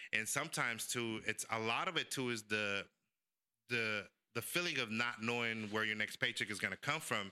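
Speaking at a moderate pace and medium pitch, a man has a bright, sharp tone, ordinary pitch variation and very even loudness. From San Francisco, born in El Salvador. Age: 40s. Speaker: podcast host. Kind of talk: casual chat. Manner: animated.

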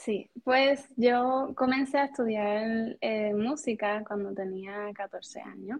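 Delivered at a very slow pace, the speech has hardly any pauses. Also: woman, fairly high pitch for a woman. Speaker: music teacher. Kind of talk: interview conversation. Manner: calm, even-toned.

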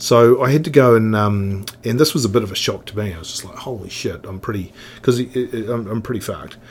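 Over noticeable background noise, a man with a New Zealand accent talks at a fairly quick pace with hardly any pauses, at a medium pitch with ordinary pitch variation and big swings in loudness. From New Zealand, Otago (Oamaru). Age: 50s. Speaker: snowboard industry veteran. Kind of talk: casual interview chat. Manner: halting, repetitive.

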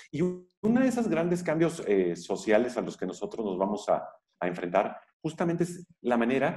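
The pace is moderate as a man talks. His pitch rises and falls very widely. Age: 40s. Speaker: labor lawyer and university professor. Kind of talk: interview.

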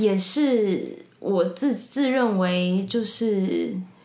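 Noticeable background noise and audible room echo accompany a woman speaking at a medium pitch. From Taiwan, Taipei. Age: 20s. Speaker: podcast guest, drama graduate. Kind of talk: casual interview chat.

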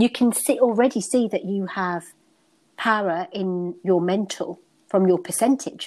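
A woman with a British accent, fairly slow and with ordinary pitch variation, on a very clean recording with a silent background. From United Kingdom. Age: 40s. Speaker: stress management coach. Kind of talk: interview conversation.

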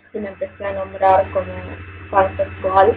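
A woman with a Rioplatense accent talks at a fairly slow pace over noticeable background noise. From Argentina, Buenos Aires. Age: 20s. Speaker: asexual activist. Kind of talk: casual panel discussion.

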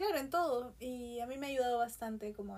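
Her voice has a fairly high pitch and ordinary pitch variation. The woman talks at a fairly quick pace. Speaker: artist, printmaker. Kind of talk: casual chat.

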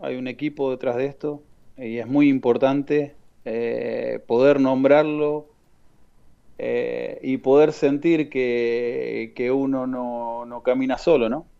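A man at medium pitch with a dark, mellow tone, a Rioplatense accent, fairly even intonation and a very slow pace. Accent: Argentine Rioplatense Spanish. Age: 40s. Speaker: youth football coordinator. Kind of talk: radio interview. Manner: halting.

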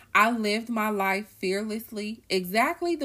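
On a very clean recording with a silent background, a woman speaks at a fairly slow pace in a bright, sharp, animated tone. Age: 30s. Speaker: podcast host. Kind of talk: casual monologue.

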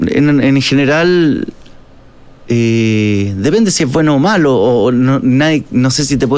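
Over noticeable background noise, a man with a Chilean accent speaks fairly slowly at a medium pitch with ordinary pitch variation. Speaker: actor and musician. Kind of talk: casual interview chat. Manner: halting, many fillers and repetitions.

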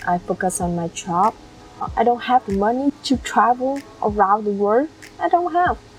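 A woman with a Vietnamese accent, fairly high pitch and very wide pitch swings, at a moderate pace, music in the background. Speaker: YouTuber. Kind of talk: vlog monologue. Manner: halting.

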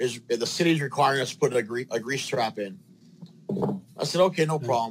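Amid noticeable background noise, a man at a medium pitch speaks at a fairly quick pace with ordinary pitch variation and long, frequent pauses. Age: 40s. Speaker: plumber. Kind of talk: interview.

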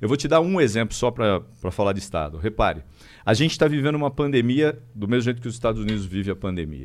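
A man's medium-pitched voice, very fast, with very wide pitch swings. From interior of São Paulo state (Araraquara). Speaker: state legislator and history teacher. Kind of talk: casual political interview.

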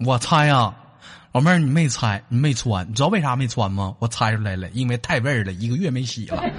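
A man with a medium-pitched, somewhat breathy voice talks at a fairly quick pace, his tone animated and his intonation lively. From Northeast China. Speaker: comedy call-in show host. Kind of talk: casual joking chat with callers. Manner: animated, laughing.

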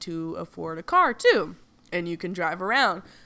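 At a moderate pace, a woman with a Southern US accent speaks in a medium pitch. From US South. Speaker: podcaster. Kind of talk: casual chat. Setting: Airbnb rental.

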